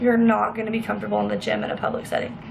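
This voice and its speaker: A woman speaks at a very fast pace. Audible room echo and noticeable background noise fill the recording. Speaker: fitness vlogger. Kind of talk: casual vlog tutorial. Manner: animated.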